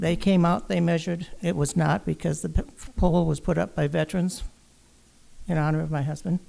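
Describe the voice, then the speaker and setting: A woman speaks at a fairly quick pace with a fairly low pitch and a dark, mellow tone. Her voice carries vocal fry and ordinary pitch variation. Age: 80s+. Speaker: resident speaking at public comment. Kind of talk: public comment at council meeting. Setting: city council chamber.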